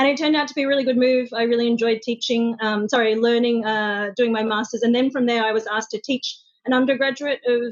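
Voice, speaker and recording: A woman speaks very fast in an Australian accent, her high voice keeping very even loudness and fairly even intonation. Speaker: social media manager. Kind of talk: interview. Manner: hesitant, many fillers.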